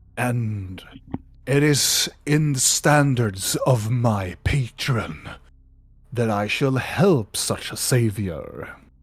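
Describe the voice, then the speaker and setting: The pace is very slow. A put-on character voice is used. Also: man, medium pitch for a man. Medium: actual play. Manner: slow, solemn, archaic.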